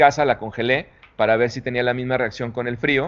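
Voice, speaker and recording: A man talks at a fairly quick pace. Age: 40s. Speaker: tequila brand founder. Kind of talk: interview. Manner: halting, with repetitions.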